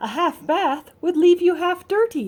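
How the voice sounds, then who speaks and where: A woman does a squeaky put-on character voice at an extremely high pitch, speaking at a moderate pace with ordinary pitch variation. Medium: read story. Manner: earnest, matter-of-fact.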